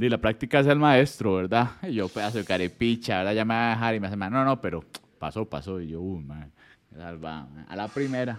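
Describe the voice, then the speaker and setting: A man with a plain, everyday voice speaks at a fairly quick pace and a fairly low pitch, his intonation lively. His loudness swings widely, and the recording is very clean with a silent background. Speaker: podcast host. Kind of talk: casual chat.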